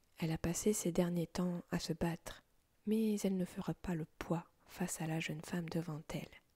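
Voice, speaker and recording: Soft-spoken and somewhat breathy, a woman talks at a fairly low pitch with a dark, mellow tone. Her intonation stays fairly even at a fairly slow pace, in a dry, close sound with no echo. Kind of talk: story reading with character voices. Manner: low-voiced, soft.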